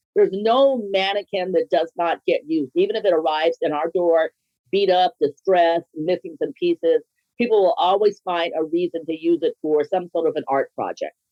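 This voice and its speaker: This is an ordinary speaking voice with ordinary pitch variation. It moves at a moderate pace. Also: woman, medium pitch for a woman. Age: 60s. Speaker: small business founder. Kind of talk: podcast interview.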